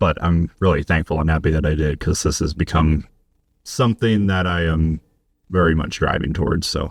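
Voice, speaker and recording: Speech with an American accent, very even loudness and fairly even intonation. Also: man, very deep, low pitch for a man, moderate pace. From Colorado, US mountain west. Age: 30s. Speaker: podcast guest, bar general manager. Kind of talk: personal testimony in casual interview.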